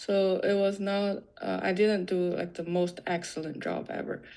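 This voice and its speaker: With a non-native accent, a woman speaks in a dark, mellow tone at a fairly slow pace. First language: not English. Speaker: software developer. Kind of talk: interview. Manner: halting, many fillers.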